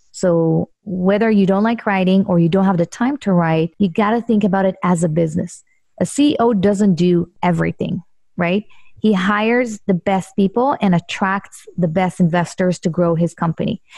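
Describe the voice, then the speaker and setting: A woman's medium-pitched, somewhat breathy voice with a dark, mellow tone, very even loudness, ordinary pitch variation and a moderate pace, in a dry, close sound with no echo. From Israel. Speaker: real estate investor. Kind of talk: interview.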